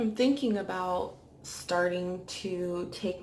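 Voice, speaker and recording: A quiet voice speaks at a very slow pace with fairly even intonation, with light background noise and audible room echo. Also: woman. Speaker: beauty vlogger. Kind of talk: makeup tutorial. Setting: at home, bedroom. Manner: casual. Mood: relaxed, a bit low. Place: home room. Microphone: phone near.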